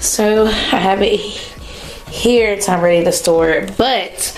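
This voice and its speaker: With music in the background and audible room echo, a woman is heard speaking. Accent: American. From North Carolina, US South. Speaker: vlogger. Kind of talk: casual vlog. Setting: home, car and doctor's office.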